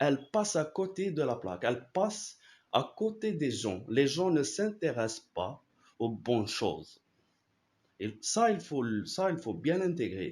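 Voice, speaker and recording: A man's fairly high voice in an Arabic accent, with vocal fry, very wide pitch swings and a very slow pace. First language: Arabic (speaking French). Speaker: philosophy YouTuber. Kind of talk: casual explanatory talk. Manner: halting, many repetitions and fillers.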